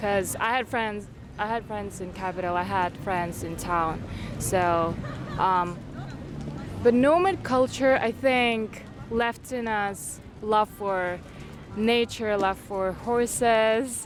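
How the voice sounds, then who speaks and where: A woman talks at a medium pitch and a very slow pace with ordinary pitch variation and long, frequent pauses, music playing in the background. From Kyrgyzstan. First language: Kyrgyz. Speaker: university student. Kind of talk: casual interview chat. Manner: halting, with fillers.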